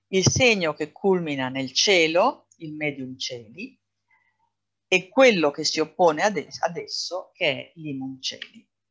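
Against a quiet background, a woman speaks very slowly with a very deep, low pitch, lively intonation and big swings in loudness. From Italy, Venice; Italy. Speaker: astrologer; presenter. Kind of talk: lecture. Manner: hesitant, frequent fillers. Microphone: webcam.

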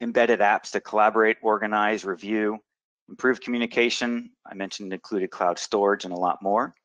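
The voice moves at a fairly quick pace with fairly even intonation, in a dry, close sound with no echo and a quiet background. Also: man. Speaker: software product presenter. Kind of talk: webinar presentation. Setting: online webinar. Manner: fast talker.

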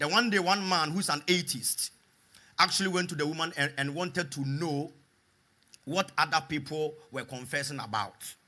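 With an animated, bright, sharp tone, a man speaks at a fairly high pitch with ordinary pitch variation. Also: moderate pace. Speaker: preacher. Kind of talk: sermon with call-and-response to a live congregation, praying and exhorting. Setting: church with live congregation. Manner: animated, fervent, repeating phrases for the crowd to echo.

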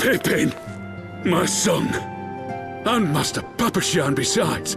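Over clear music in the background, a man does a put-on character voice at a fairly high pitch with vocal fry. He speaks at a slow pace with lively intonation.

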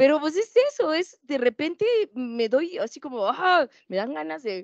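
A woman talks at a fairly slow pace, her pitch swinging very widely. The sound is dry with no echo, and the background is quiet. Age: 40s. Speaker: activist, organization founder; panelist. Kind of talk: panel discussion. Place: classroom. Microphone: handheld.

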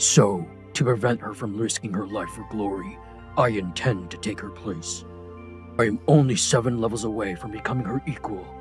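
Clear music plays in the background as a man uses a put-on character voice. His pitch is fairly low and his pace moderate. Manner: pleading, then angry.

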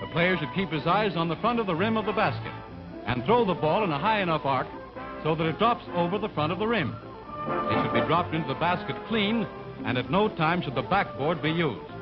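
Fairly quick speech over loud background music. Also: man, high pitch for a man. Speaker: newsreel narrator. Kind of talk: newsreel narration. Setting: vintage 1940s film recording. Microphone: old recording.

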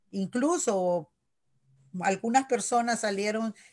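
Against a quiet background, a woman talks at a fairly slow pace. Her pitch varies in an ordinary way. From Nicaragua, Managua; Nicaragua. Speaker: local election candidate; election candidate. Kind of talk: interview. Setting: video call. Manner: halting. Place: home room. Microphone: video call.

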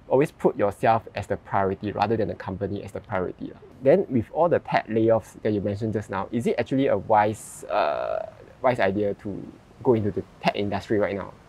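A man talks at a fairly quick pace with medium pitch and ordinary pitch variation. The sound is dry, with no echo. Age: 30s. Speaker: YouTube host. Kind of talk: interview conversation. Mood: relaxed, friendly. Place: garden. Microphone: lapel.

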